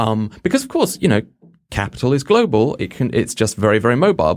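A man with an English accent at a fairly quick pace. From England, Oxford. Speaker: magazine editor. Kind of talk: casual panel discussion.

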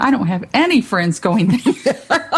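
A woman's somewhat breathy, fairly high voice with an American accent, lively intonation and a fairly slow pace. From South Texas, Rio Grande Valley. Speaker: arts center director. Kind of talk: radio interview.

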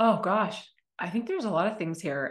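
Against a quiet background, a woman with an ordinary speaking voice talks at a moderate pace with lively intonation. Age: 40s. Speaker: business coach. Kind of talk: podcast interview.

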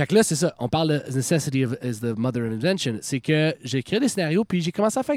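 An unremarkable speaking voice from a man, fairly high in pitch, with lively intonation and a fairly quick pace with hardly any pauses. The recording is very clean with a silent background and a dry, close sound with no echo. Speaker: rock band frontman. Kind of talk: casual chat. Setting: outdoors.

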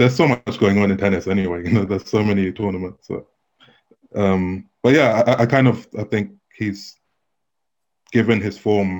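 Long, frequent pauses break up this man's fairly low-pitched speech, delivered with a London accent. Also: ordinary pitch variation, moderate pace. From London, England. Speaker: tennis journalist. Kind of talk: interview.

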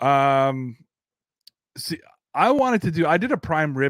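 An animated man with a fairly high pitch, in a very clean recording with a silent background and a dry, close sound with no echo. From Canada. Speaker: football podcast host. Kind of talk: casual live-stream commentary.

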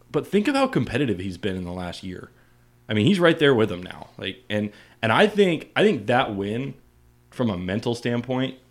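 A man at a moderate pace with lively intonation, on a very clean recording with a silent background. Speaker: guest co-host. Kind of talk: casual chat. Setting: studio. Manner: excitable.

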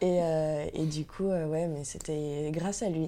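A woman's very deep, low pitch and dark, mellow tone, with fairly even intonation and audible room echo. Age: 20s. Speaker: tattoo artist. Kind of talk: casual interview. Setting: at home.

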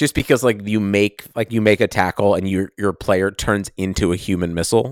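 A man talks at a fairly quick pace with a fairly low pitch and fairly even intonation, in a normal speaking voice. The recording is very clean with a silent background, dry and close with no echo. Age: 30s. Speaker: sports podcast co-host. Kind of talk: casual chat.

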